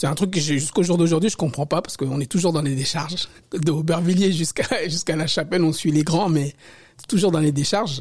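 Male voice at a fairly quick pace with ordinary pitch variation. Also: fairly high pitch for a man. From Paris. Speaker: hip-hop dancer and independent researcher. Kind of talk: interview. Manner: halting, many repetitions.

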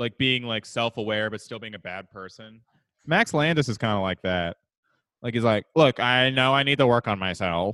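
With big swings in loudness, an ordinary speaking voice keeps a moderate pace and ordinary pitch variation. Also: man, medium pitch for a man. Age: 20s. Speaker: podcast co-host. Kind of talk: casual chat.

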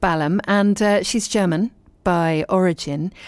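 A woman speaks with a warm, animated tone. Her pace is moderate. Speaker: radio host. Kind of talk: live radio dj patter, chatty link between songs. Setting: live radio studio. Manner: warm, chatty, animated.

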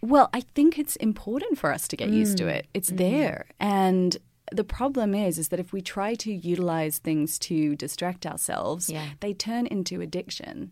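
With an Australian accent, a woman at medium pitch speaks at a moderate pace in a dark, mellow tone with lively intonation. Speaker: podcast guest, fitness and wellness personality.

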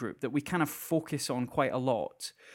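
Recorded very cleanly against a silent background, a man with a Scottish accent speaks at a fairly slow pace. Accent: Scottish (Edinburgh area). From Scotland, near Edinburgh. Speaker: podcast co-host. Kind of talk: casual chat.

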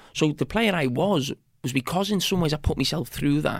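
With a Liverpool accent, a man speaks at a moderate pace in a fairly high pitch with ordinary pitch variation. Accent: Scouse (Liverpool). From Bootle, Merseyside, England. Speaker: former footballer and TV pundit. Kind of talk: casual interview chat. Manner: halting, with frequent repetitions.

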